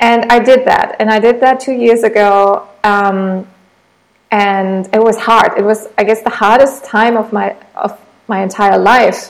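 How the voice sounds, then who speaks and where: This woman has a German accent and a fairly high pitch. She speaks at a fairly slow pace with fairly even intonation. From Germany. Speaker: entrepreneur. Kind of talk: interview.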